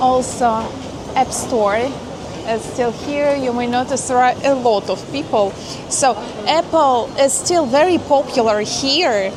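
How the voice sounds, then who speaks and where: The speaker talks at a very slow pace in a Russian accent, with ordinary pitch variation. Background noise is noticeable and room echo is audible. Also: woman, high pitch for a woman. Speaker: vlogger. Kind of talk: casual vlog narration. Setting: walking around a shopping mall. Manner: hesitant with fillers.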